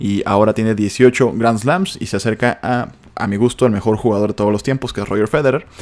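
Very fast speech in a Mexican accent. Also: man. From Mexico. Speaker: news podcast host. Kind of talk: casual news commentary. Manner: informal, chatty.

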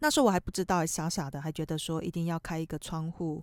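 A woman speaks at a fairly low pitch with a Taiwanese accent. The recording is very clean with a silent background, and the sound is dry and close with no echo. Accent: Taiwanese Mandarin. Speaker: podcast host, real estate agent. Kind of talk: casual monologue.

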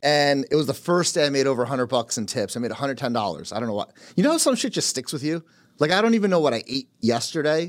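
Lively intonation and a very fast pace mark this speaker with a New Jersey accent, heard in a very clean recording with a silent background. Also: man, fairly high pitch for a man. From Carteret, New Jersey. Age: 30s. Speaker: real estate team leader. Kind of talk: casual chat.

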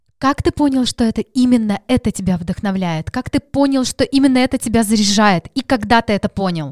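A woman with a fairly high pitch talks at a fairly quick pace with hardly any pauses. Her intonation is lively, and the sound is dry and close with no echo. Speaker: podcast host. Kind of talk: interview.

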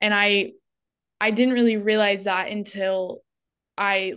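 A medium-pitched woman with an American accent, against a quiet background. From Northern California, rural. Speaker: psychology student and intern. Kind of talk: casual chat.

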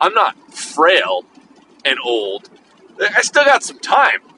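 A man's raised, projected voice comes through with a dry, close sound and no echo. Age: 40s. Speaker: podcast host. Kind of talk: casual monologue. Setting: in a car.

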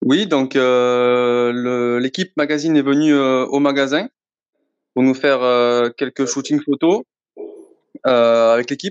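A man speaks at a very slow pace in a Marseille accent, with long, frequent pauses. The sound is dry and close, with no echo. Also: medium pitch for a man, very even loudness. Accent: southern French (Marseille), sing-song. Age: 30s. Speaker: sports store assistant manager, football fan. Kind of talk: podcast interview. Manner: hesitant, many fillers.

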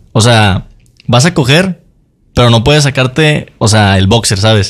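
A normal speaking voice from a man, medium in pitch, with lively intonation. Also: very even loudness. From Mexico. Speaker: podcast co-host. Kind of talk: casual chat.

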